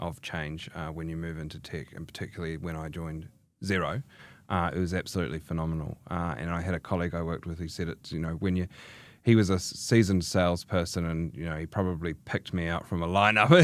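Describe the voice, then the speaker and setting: Speaking at a very fast pace with a New Zealand accent, a man with a very deep, low pitch is heard in a very clean recording with a silent background. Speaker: chartered accountant in tech, general manager. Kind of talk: podcast interview. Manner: hesitant, many fillers.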